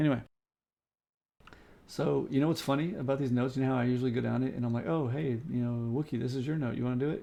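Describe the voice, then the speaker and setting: Though soft-spoken and dark, mellow in tone, a man talks at a very fast pace with long, frequent pauses, a medium pitch and fairly even intonation. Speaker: game server owner. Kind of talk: live stream meeting.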